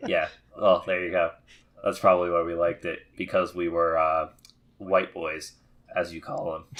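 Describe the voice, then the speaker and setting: The pace stays moderate as a man talks. Long pauses break up his speech often. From Florida. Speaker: podcast co-host and aspiring voice actor. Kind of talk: casual chat. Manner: animated.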